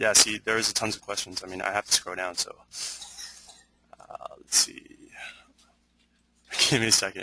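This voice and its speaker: A man's bright, sharp voice in a dry sound with no echo. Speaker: webinar host. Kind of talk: live Q&A moderation. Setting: online webinar. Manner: stuttering, hesitant. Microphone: video call.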